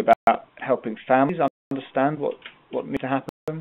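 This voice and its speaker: The speaker has a British accent and moves at a fairly quick pace. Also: man. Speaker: webinar presenter on healthcare improvement. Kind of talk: online training webinar. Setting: live web conference. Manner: fast.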